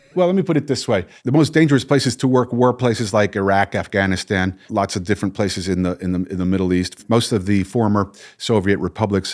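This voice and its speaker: A man speaks at a very fast pace in a fairly low pitch, with hardly any pauses and ordinary pitch variation. The recording is very clean, with a silent background. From northern New Jersey, US. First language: Spanish. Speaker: psychologist and hostage negotiator. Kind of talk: interview conversation. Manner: halting, many repetitions and fillers.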